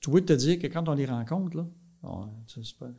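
The voice is somewhat breathy, with lively intonation. It moves at a very fast pace. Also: man. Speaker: dairy farmer and farm union leader. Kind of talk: casual interview.

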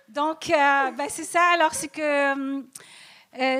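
A woman's voice over noticeable background noise. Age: old. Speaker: comedian. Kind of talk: stand-up. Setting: stage with audience. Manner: slow.

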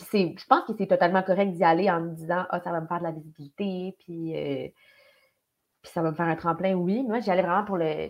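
The pace is fairly quick. The intonation stays fairly even. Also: woman, fairly low pitch for a woman. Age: 20s. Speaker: actress. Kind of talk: casual chat.

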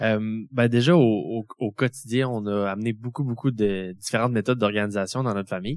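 On a very clean recording with a silent background, an ordinary speaking voice moves at a fairly quick pace with ordinary pitch variation. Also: man. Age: 20s. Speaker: family caregiver and student. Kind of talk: testimony. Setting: stage with audience.

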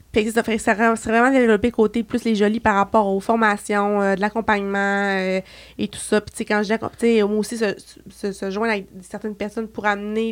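On a very clean recording with a silent background, a woman at a medium pitch talks at a fairly quick pace with hardly any pauses and monotone, flat intonation. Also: big swings in loudness. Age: 20s. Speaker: beauty entrepreneur. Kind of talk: casual chat.

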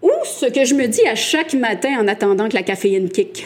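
Noticeable background noise sits behind a woman with a high voice. She speaks at a very slow pace with very wide pitch swings. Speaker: podcast co-host. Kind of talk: casual chat. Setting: live recording with audience.

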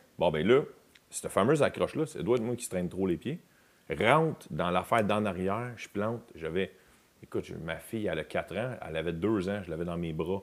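With a Quebec accent, a man speaks fairly quickly at a fairly low pitch and with lively intonation, in a very clean recording with a silent background. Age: 40s. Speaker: comedian. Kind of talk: casual chat.

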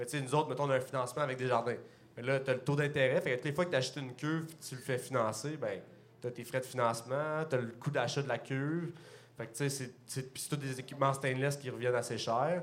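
With a Quebec accent, a man at medium pitch talks at a very fast pace with fairly even intonation and audible room echo. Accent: Québécois French. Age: 20s. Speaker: brewer and microbrewery co-owner. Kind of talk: casual chat. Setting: stage with audience.

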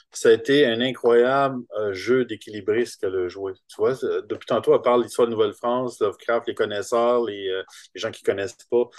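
A fairly quick pace in a Quebec accent, with big swings in loudness. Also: man. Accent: Québécois French. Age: 50s. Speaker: comic book artist. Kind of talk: interview.

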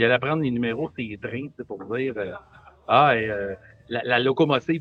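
A man uses a normal speaking voice, with ordinary pitch variation and a moderate pace. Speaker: brewery and restaurant owner. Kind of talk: casual chat.

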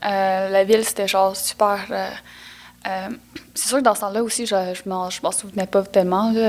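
At a moderate pace, a woman speaks in a medium pitch with monotone, flat intonation and long, frequent pauses. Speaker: actress. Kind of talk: casual interview.

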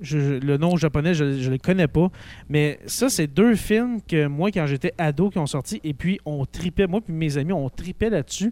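The voice has a Quebec accent and a dark, mellow tone. Its pace is fairly slow. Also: man, fairly high pitch for a man, ordinary pitch variation, dry, close sound with no echo. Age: 30s. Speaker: teacher and school podcast host. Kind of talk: casual chat.

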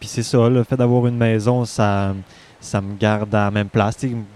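A man's dark, mellow voice moves at a fairly slow pace, with a dry, close sound and no echo. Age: 20s. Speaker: artist. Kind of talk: casual chat. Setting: outdoors.

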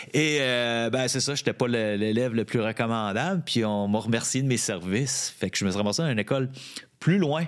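A man talks at a fairly quick pace, his pitch medium with ordinary variation. Noticeable background noise runs underneath. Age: 50s. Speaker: former bike shop owner. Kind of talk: casual chat.

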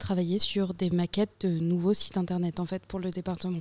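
Medium in pitch, this woman's voice carries a dark, mellow tone. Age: 20s. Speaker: communications student. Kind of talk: casual round-table chat.

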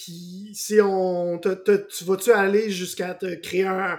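This man has a high pitch. He speaks in a monotone, flat intonation. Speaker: podcast host. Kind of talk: interview.

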